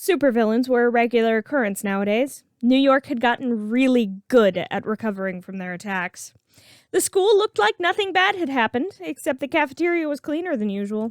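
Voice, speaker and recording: Her voice is high-pitched with very wide pitch swings as this woman talks at a fairly quick pace. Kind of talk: read story.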